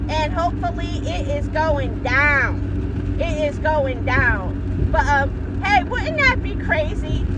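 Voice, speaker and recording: A woman talks at a very slow pace with hardly any pauses, amid noticeable background noise and audible room echo. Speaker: boxing vlogger. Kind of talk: casual vlog monologue. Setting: in a car. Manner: loud; animated.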